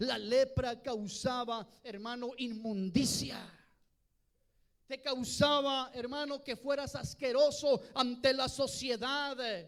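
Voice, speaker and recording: Extremely high-pitched, a man speaks very slowly with fairly even intonation. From Mexico. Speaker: pastor. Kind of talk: bilingual sermon. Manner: switches between Spanish and English, repeats words.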